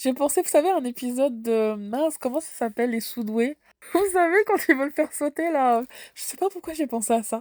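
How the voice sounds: A woman with a high pitch speaks at a fairly quick pace in a dry, close sound with no echo. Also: ordinary pitch variation, slightly mellow tone.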